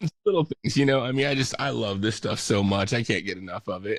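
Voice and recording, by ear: A man talks with vocal fry and a gravelly sound. His pitch varies in an ordinary way.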